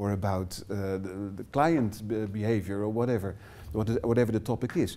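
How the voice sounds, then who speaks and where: A man with a Dutch accent, a fairly low pitch, a dark, mellow tone, ordinary pitch variation and a moderate pace. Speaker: workshop trainer. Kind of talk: lecture. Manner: halting.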